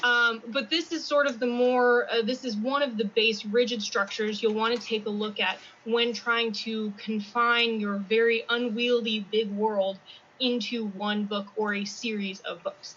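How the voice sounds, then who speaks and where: A woman with a plain, everyday voice speaks at a fairly slow pace and fairly high pitch, with fairly even intonation. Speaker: freelance fiction editor. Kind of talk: conference presentation. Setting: convention presentation.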